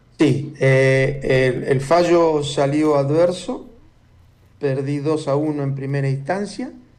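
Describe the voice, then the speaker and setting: Speaking very slowly, a man with a fairly high pitch keeps a fairly even intonation while room echo is audible. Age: 70s. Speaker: former intelligence agent and author. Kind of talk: interview.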